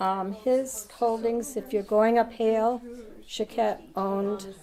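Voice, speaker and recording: Speaking at a very slow pace with a New England accent, a woman keeps a fairly high voice in a monotone, flat intonation. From Vermont. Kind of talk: interview answer.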